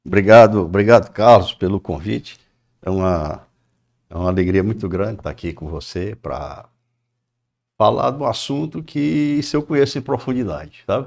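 Using very wide pitch swings, a man with a fairly low pitch talks at a moderate pace with long, frequent pauses. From Ceará, Brazil (Maranguape). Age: 60s. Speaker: business owner. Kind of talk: interview. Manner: halting.

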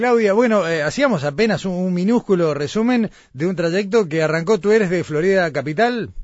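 A man's high-pitched voice with lively intonation and hardly any pauses. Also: moderate pace. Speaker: radio host. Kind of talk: radio interview. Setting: remote broadcast from Florida.

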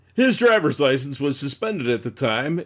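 Recorded very cleanly against a silent background, a man with a plain, everyday voice and a fairly high pitch talks at a fairly quick pace. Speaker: podcast co-host. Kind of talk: casual banter and reading news articles aloud.

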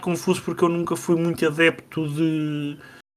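This man speaks with a high pitch. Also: very clean recording, silent background. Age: 30s. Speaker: podcast host, video game reviewer. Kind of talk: casual chat.

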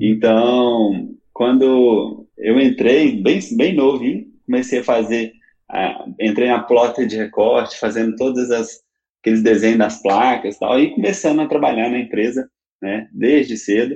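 A man's medium-pitched voice in a Minas Gerais accent, with ordinary pitch variation and a fairly slow pace. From Belo Horizonte, Minas Gerais, Brazil. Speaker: road signage designer and architect. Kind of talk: interview.

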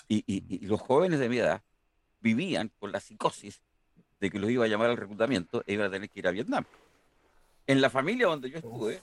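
Speaking at a very fast pace but with long, frequent pauses, a man with medium pitch and lively intonation comes through dry and close with no echo. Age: 60s. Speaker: engineering professor. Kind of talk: interview.

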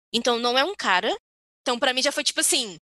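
Against a quiet background, a woman projects a raised, bright, sharp voice with lively intonation in a dry, close sound with no echo. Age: 20s. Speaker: podcast co-host. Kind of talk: casual chat. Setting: video call.

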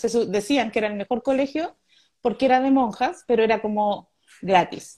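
A woman with a Chilean accent speaks at a high pitch with a dark, mellow tone and ordinary pitch variation. Her pace is moderate, and the background is quiet. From Chile, Santiago (Conchalí). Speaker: stand-up comedian. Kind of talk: interview.

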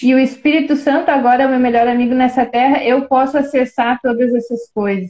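A woman's high-pitched voice at a moderate pace, with fairly even intonation. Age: 20s. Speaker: churchgoer and musician. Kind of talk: casual religious discussion. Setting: online video live stream.

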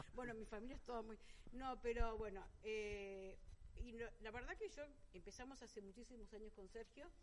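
In a room with audible echo, a woman speaks at a moderate pace in a fairly high pitch with ordinary pitch variation. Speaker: winery director. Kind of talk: radio interview. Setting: restaurant, live broadcast.

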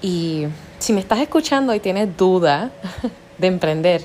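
With lively intonation and a fairly slow pace, a woman talks over noticeable background noise. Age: 30s. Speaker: public relations agency owner. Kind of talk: solo monologue podcast. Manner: hesitant with fillers.

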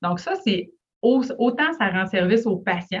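A somewhat breathy woman's voice with lively intonation at a fairly slow pace. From Quebec, Lac-Saint-Jean. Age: 30s. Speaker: family physician. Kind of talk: interview.

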